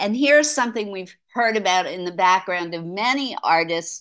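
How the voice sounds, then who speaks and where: Against a quiet background, a woman speaks with lively intonation and a bright, sharp tone. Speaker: art lecturer. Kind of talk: lecture. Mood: light, mildly humorous. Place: home room. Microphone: video call.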